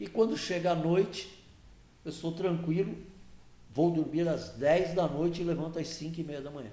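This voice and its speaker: A man's high-pitched voice at a moderate pace, fairly even in intonation but with big swings in loudness, long and frequent pauses, audible room echo and noticeable background noise. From Brazil, Santos. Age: 70s. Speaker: regional political association executive. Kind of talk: podcast interview.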